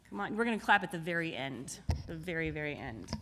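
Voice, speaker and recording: At a moderate pace, a woman with a bright, sharp tone and vocal fry speaks in very wide pitch swings. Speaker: music teacher. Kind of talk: awards ceremony announcements.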